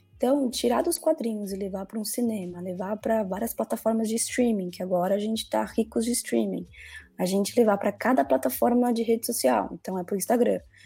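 A woman speaks at a fairly quick pace with lively intonation and a fairly high pitch. Her tone is dark and mellow, and somewhat breathy. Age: 20s. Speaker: marketing executive. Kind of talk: interview.

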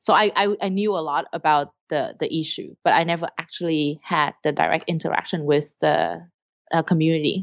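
On a very clean recording with a silent background and a dry, close sound with no echo, a woman speaks at a moderate pace with a Vietnamese accent. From southern Vietnam. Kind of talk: interview.

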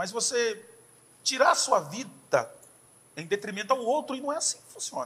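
A man is speaking. His pace is moderate. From Brazil, interior of São Paulo state. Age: 40s. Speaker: pastor. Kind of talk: casual chat.

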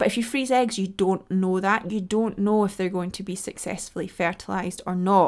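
A woman speaks in a plain, everyday voice at medium pitch, at a moderate pace with fairly even intonation. The recording is very clean with a silent background. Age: 30s. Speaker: podcast host and nutritionist. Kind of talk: solo podcast monologue.

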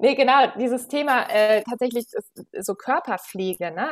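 Speaking at a moderate pace, a woman uses a high pitch and lively intonation, with a dry, close sound and no echo. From Berlin, Germany. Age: 30s. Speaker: management consultant and yoga teacher. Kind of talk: casual interview. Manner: hesitant, many fillers.

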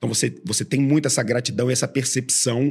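Vocal fry runs through this man's medium-pitched voice. His intonation stays fairly even. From Brazil, Rio de Janeiro. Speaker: podcast host, venture investor. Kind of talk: casual interview.

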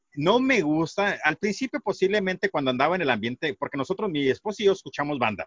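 The pitch swings very widely from moment to moment. Words come at a very fast pace. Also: man. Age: 40s. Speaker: podcaster. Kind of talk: casual chat.

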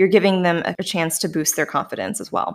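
On a very clean recording with a silent background, a woman with a slight Canadian accent speaks at a medium pitch. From Canada. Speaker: podcast host, former data scientist. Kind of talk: casual interview.

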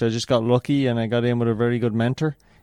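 A man with an Irish accent speaks at a medium pitch in a dark, mellow tone. The recording is very clean and dry, close with no echo and a silent background. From Ireland. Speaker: running coach. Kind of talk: interview.

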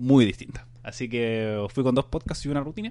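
This man has a Chilean accent. He speaks at a medium pitch with ordinary pitch variation. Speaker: podcast host. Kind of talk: casual chat.

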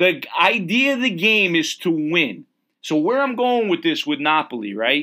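A man speaks with an American accent at a high pitch, his voice swinging very widely up and down. The pace is moderate, and the recording is very clean with a silent background. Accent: Connecticut, slight New York-like. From Connecticut. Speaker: podcast host. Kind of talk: casual banter chat about football.

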